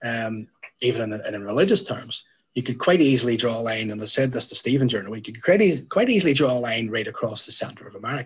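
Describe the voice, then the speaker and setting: Speaking very fast with a Northern Irish accent, a man has a medium pitch and lively intonation. His voice is somewhat breathy, and its loudness swings widely. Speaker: youth worker. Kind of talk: panel talk.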